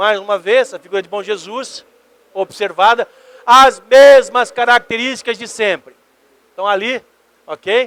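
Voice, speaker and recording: A man shouts at an extremely high pitch for a man, at a fairly slow pace. His intonation stays fairly even, and the sound is dry and close with no echo. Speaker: ufologist, magazine editor. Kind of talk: lecture. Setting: convention stage with audience. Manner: loud, shouting.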